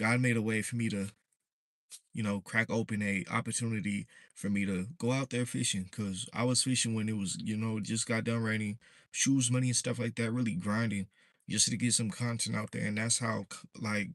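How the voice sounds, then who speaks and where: With an American accent, a man speaks at a fairly quick pace and a medium pitch in a relaxed tone. His intonation stays fairly even over a quiet background. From Southern California. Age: 20s. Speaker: fishing content creator. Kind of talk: casual livestream talk. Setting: livestream. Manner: relaxed, casual.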